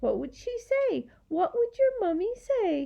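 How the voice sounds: A put-on character voice with a dark, mellow tone and vocal fry moves at a fairly slow pace. Its pitch swings in big leaps. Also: woman, extremely high pitch for a woman.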